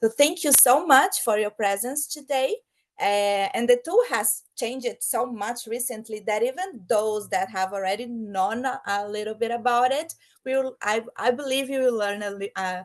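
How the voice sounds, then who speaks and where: A woman speaks with a Brazilian Portuguese accent at a moderate pace. Her fairly high voice has lively intonation. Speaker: project manager. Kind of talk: online presentation. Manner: halting, with fillers.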